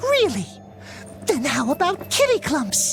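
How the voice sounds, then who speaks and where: Someone performs a put-on character voice at a fairly slow pace while clear music plays behind. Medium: video game. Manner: playful, punny.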